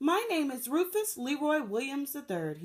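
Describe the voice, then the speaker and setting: A woman puts on a character voice, high-pitched and delivered at a moderate pace. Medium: read story.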